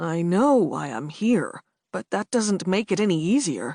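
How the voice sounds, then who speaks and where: A woman's raspy, put-on character voice at a fairly low pitch and a moderate pace. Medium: read story.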